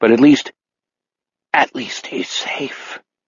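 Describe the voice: A man puts on a character voice. It is croaky and sits at a medium pitch.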